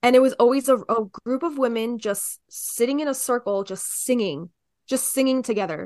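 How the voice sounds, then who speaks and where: The speaker has a slight New Jersey accent. The background is quiet and the sound is dry and close with no echo. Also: woman, high pitch for a woman, ordinary pitch variation, moderate pace. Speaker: podcast host. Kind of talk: casual chat.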